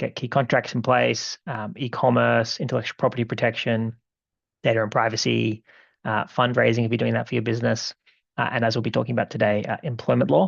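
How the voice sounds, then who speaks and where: A man with an Australian accent, vocal fry and a very fast pace, against a quiet background. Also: medium pitch for a man, ordinary pitch variation. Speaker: law firm co-founder, webinar presenter. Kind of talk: webinar presentation. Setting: online webinar. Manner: halting, many fillers. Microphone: one viewer reported bad sound.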